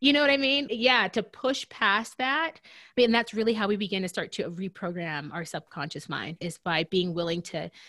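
A woman speaks at a moderate pace with a bright, sharp tone and lively intonation, recorded very cleanly against a silent background. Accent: American. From US Deep South. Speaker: podcast co-host. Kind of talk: casual chat.

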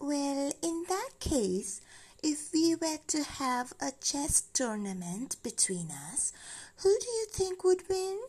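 In a put-on character voice, a female-sounding speaker uses a calm, gentle tone, a high pitch and very wide pitch swings at a fairly slow pace. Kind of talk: bedtime story. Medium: read story. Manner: calm, gentle, patient.

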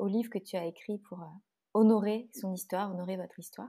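A woman with a dark, mellow tone and a somewhat breathy voice speaks at a fairly quick pace with fairly even intonation. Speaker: podcast host and doula. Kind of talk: interview. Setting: video call. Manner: laughs often.

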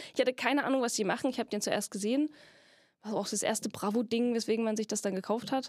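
A woman talks at a very fast pace. Her pitch is fairly high, with fairly even intonation. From Saxony, Germany (Freiberg). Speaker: puppeteer and actress. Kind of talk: casual interview chat. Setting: studio in a theater basement.

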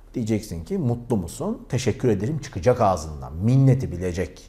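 A man's dark, mellow tone with vocal fry. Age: 40s. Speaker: YouTuber. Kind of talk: vlog monologue.

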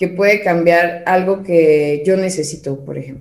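This woman speaks in a normal speaking voice at a fairly slow pace, with ordinary pitch variation. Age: 30s. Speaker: digital marketing specialist. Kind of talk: casual interview chat.

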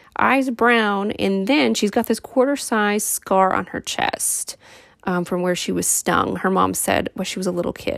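A woman with a plain, everyday voice speaks at medium pitch and a moderate pace, her pitch varying in an ordinary way on a very clean recording with a silent background. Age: 30s. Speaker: true crime podcaster. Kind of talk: casual true crime narration. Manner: casual, filler-heavy.

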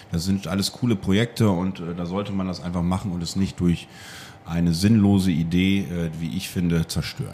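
Very deep and low, the man's voice carries a dark, mellow tone. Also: moderate pace. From East Frisia, northern Germany. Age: 30s. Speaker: wine bar owner. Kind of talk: interview. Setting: in his wine bar.

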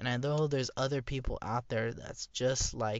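This man speaks at a moderate pace in a flat, monotone delivery. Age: 20s. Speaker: vlogger. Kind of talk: personal monologue. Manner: casual, rambling with fillers.

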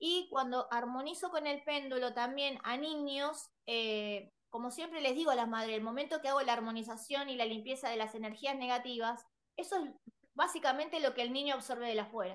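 A woman at a high pitch with ordinary pitch variation, talking at a fairly quick pace. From Buenos Aires, Argentina. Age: 40s. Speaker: holistic therapist. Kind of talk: interview.

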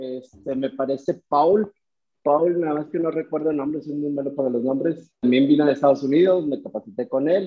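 Speaking at a moderate pace, a man has a normal speaking voice and a fairly high pitch. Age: 30s. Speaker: car detailing business owner. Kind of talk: interview.

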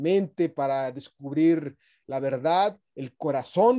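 A man talks in a Mexican accent. His tone is dark and mellow. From Mexico. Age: 40s. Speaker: leadership academy founder. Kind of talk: radio interview.

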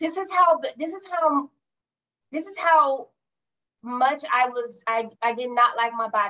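With an American accent, a speaker uses a raised, projected voice with a bright, sharp tone, lively intonation, and big swings in loudness. The pace is fairly slow, with long, frequent pauses. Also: woman, high pitch for a woman. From California. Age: 40s. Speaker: executive assistant and entrepreneur. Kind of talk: casual interview.

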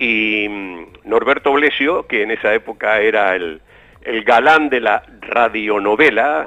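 A man's medium-pitched voice moves very slowly, with ordinary pitch variation. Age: 70s. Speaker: retired radio and TV presenter. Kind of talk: casual interview. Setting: remote call from home.

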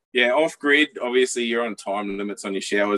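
In an Australian accent, a man talks at a fairly quick pace. His pitch is medium, with ordinary pitch variation. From North Queensland, Australia. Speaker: traveller. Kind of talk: casual interview chat.

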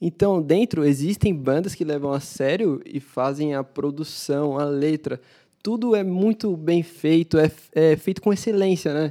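This very clean recording with a silent background features a man with a dark, mellow tone talking at a fairly slow pace with ordinary pitch variation. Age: 20s. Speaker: church guitarist, music producer. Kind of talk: casual panel discussion.

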